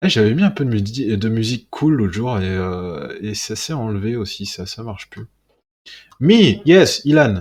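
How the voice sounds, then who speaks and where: In a southern French accent, a man with a medium pitch speaks at a fairly slow pace with lively intonation, big swings in loudness and a somewhat breathy sound, on a very clean recording with a silent background. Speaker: live streamer hosting science news show. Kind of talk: casual live stream chat. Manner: animated.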